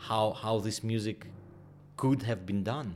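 A man with a Ukrainian accent speaks very slowly at a medium pitch. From Ukraine. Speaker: orchestra conductor. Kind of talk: interview. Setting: dressing room. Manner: halting.

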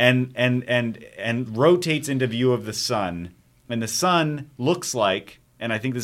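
Using an ordinary speaking voice, a man speaks at a medium pitch and moderate pace with ordinary pitch variation. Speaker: movie podcast host. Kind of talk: casual banter, movie discussion.

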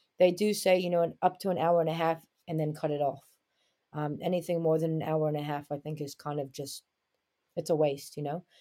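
In a New York accent, a woman talks at a fairly quick pace in a very deep, low voice with a dark, mellow tone and monotone, flat intonation, on a very clean recording with a silent background. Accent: New York American. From Brooklyn, New York, US. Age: 20s. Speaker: basketball player and coach. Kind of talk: casual interview.

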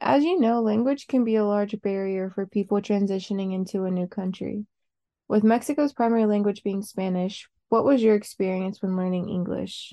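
A woman's normal speaking voice, medium in pitch, with ordinary pitch variation and a moderate pace. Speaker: student interviewer. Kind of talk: interview.

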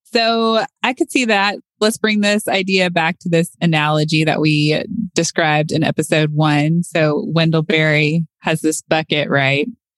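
In a dry, close sound with no echo, a woman with an ordinary speaking voice talks at a fairly low pitch and a fairly slow pace, with ordinary pitch variation and very even loudness. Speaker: podcast host. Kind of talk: casual conversational podcast discussion.

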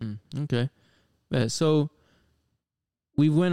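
A man with an American accent speaks at a fairly slow pace in a dark, mellow tone, with ordinary pitch variation and a dry, close sound with no echo. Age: 20s. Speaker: podcast host, sneaker reseller. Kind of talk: casual chat. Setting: home studio in living room. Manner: animated.

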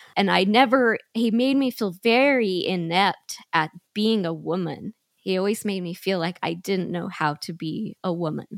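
A woman in an unremarkable speaking voice, at a fairly slow pace with ordinary pitch variation, on a very clean recording with a silent background. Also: medium pitch for a woman, dry, close sound with no echo. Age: 40s. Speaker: small business owner. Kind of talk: interview testimony.

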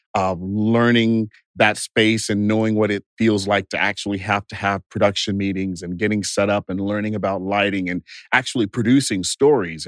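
A man with a plain, everyday voice and an American accent talks at a moderate pace and fairly low pitch. His intonation is fairly even, and the sound is dry and close with no echo. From Texas, Bastrop. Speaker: TV producer and company founder. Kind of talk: interview. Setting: studio.

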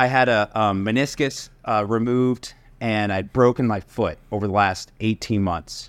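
In a plain, everyday voice, a man with an American accent speaks at a medium pitch with fairly even intonation on a very clean recording with a silent background. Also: moderate pace. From US Northeast (Connecticut). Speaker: entrepreneur and real estate investor. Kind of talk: casual interview chat.

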